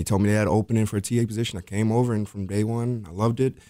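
At a very fast pace, a man with an American accent speaks in a fairly low pitch and a dark, mellow tone, his intonation monotone and flat, on a very clean recording with a silent background. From Rochester, New York. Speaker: teacher aide and basketball coach. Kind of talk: interview. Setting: studio.

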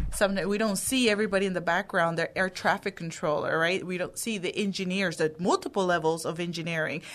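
Rushing along at a very fast pace with hardly any pauses, a woman speaks at medium pitch with fairly even intonation over noticeable background noise. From Houston area, Texas (born in Dominican Republic). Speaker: aviation nonprofit co-founder. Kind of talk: radio interview.

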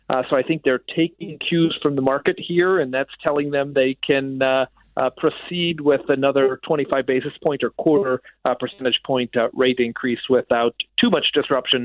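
This man has an unremarkable speaking voice, fairly high-pitched, with fairly even intonation, very even loudness and a moderate pace. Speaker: economist. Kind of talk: radio interview, economic analysis.

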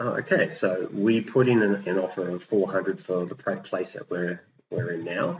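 A fairly low-pitched man with an Australian accent, moderate pace and ordinary pitch variation. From New South Wales Central Coast, Australia. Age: 50s. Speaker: property investor. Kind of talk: interview. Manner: halting, many fillers and repetitions.

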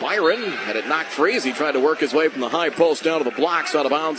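Noticeable background noise sits under a man's voice. He talks at a fairly quick pace with a fairly high pitch. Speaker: radio play-by-play announcer. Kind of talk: live sports commentary. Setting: radio broadcast from the arena. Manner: fast, rapid-fire play-by-play.

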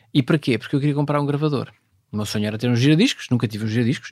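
The sound is dry and close, without any echo. It carries a man's fairly high-pitched voice. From northern Portugal, Vila Nova de Cerveira (Minho). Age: 50s. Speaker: space agency president. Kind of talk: interview. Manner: halting, many fillers.

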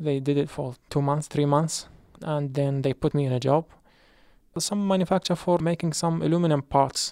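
A man's fairly high-pitched voice in a dark, mellow tone, fairly even intonation and moderate pace, captured as a dry, close sound with no echo in a very clean recording with a silent background. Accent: Arabic. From Iraq. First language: Arabic. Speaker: refugee, former teacher. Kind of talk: testimony.

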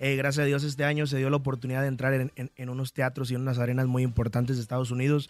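This man speaks very fast. His voice sits fairly high in pitch. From Michoacán, Mexico. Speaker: singer. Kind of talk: radio interview. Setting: radio studio.

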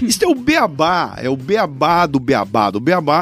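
With an animated tone, a man talks in very wide pitch swings. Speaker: writer and podcast host, invited speaker. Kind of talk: casual chat.

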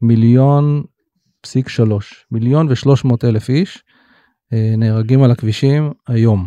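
A man with a dark, mellow tone and medium pitch speaks at a fairly slow pace, with ordinary pitch variation, very even loudness and long, frequent pauses. The sound is dry and close with no echo, over a quiet background. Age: 50s. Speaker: startup CEO. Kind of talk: interview.

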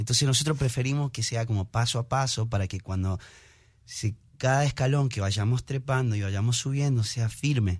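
On a very clean recording with a silent background, a man speaks at a moderate pace and medium pitch, somewhat breathy, with ordinary pitch variation. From Argentina. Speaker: singer, musician. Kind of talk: interview.

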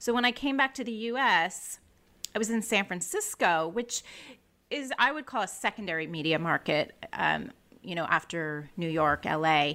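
A woman with a Californian accent speaks at a moderate pace in a bright, sharp tone, with very wide pitch swings. The recording is very clean, with a silent background. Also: medium pitch for a woman. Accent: American, Californian. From California, US. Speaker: communications director. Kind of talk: interview, casual chat. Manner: chatty, sociable.

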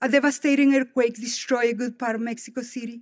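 The intonation stays fairly even on a very clean recording with a silent background. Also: woman. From Guatemala. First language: Spanish. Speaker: devotional speaker. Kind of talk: devotional speech. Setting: stage with audience.

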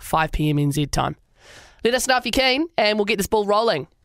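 Using lively intonation, a woman with a medium pitch and a New Zealand accent speaks at a fairly quick pace. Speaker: radio host. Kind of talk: casual chat.

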